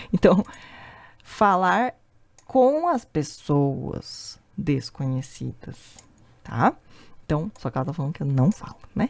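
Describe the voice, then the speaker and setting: Soft-spoken and very slow, this voice has very wide pitch swings and long, frequent pauses, with a dry, close sound and no echo. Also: woman, very deep, low pitch for a woman. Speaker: language teacher. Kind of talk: tutorial.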